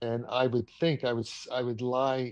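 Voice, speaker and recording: A man speaks at a very slow pace. His pitch is medium, and the background is quiet. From US, New York City. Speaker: theoretical physicist. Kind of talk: interview.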